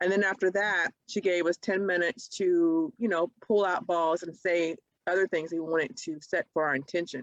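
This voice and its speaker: A woman with an unremarkable speaking voice talks at a medium pitch and a moderate pace. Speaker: podcast co-host. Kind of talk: casual chat.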